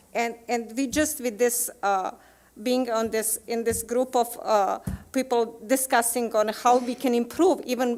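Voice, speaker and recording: A woman with a non-native accent speaks fairly slowly at a fairly high pitch. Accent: foreign. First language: not English. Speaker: teacher. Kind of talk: committee presentation at school board meeting. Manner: halting, many hesitations.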